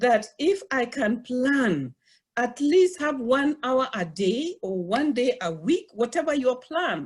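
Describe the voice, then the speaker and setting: Her high pitch and lively intonation mark this woman's speech. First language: not English. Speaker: college professor. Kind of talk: webinar panel talk. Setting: online webinar. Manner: halting.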